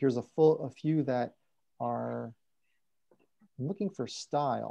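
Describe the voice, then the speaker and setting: This is a man's voice. It sounds dark and mellow. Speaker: software trainer. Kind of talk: tutorial. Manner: fast.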